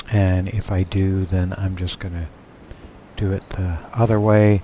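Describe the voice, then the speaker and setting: Over noticeable background noise, a man speaks at a fairly slow pace with a very deep, low pitch and monotone, flat intonation. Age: old. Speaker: gaming streamer. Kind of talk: live game commentary. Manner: casual.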